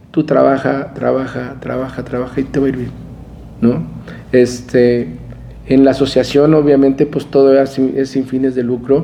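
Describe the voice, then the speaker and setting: With noticeable background noise behind him, a man of medium pitch speaks at a fairly slow pace with fairly even intonation and long, frequent pauses. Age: 50s. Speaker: crane company executive and former association president. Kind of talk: interview. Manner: halting, many fillers and repetitions.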